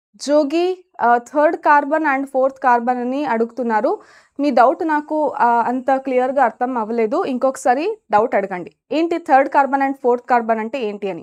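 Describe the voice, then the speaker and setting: A woman speaks with lively intonation at a high pitch. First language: Kannada (speaking Telugu). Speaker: biology teacher. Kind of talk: live online lecture. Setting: live stream with chat. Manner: energetic, encouraging.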